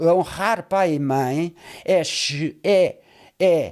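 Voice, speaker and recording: A man talks on a very clean recording where the background stays silent. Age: 80s+. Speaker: pastor. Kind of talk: casual chat. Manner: halting.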